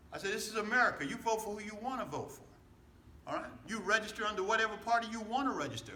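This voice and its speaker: An animated, raised, projected male voice, high-pitched and very fast, with big swings in loudness, noticeable background noise and audible room echo. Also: ordinary pitch variation. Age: 70s. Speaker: pastor. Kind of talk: political rally speech. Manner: animated, repetitive call-and-response.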